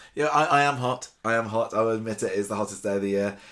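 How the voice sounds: Speaking at a fast pace, a man has fairly low pitch, a fairly bright tone and ordinary pitch variation.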